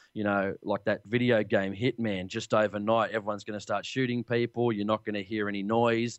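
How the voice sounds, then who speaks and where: At a moderate pace, a man with an Australian accent talks at a fairly low pitch with fairly even intonation, the sound dry and close with no echo against a quiet background. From Australia, Sydney. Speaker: hunting podcast host. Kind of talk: interview. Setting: Skype call.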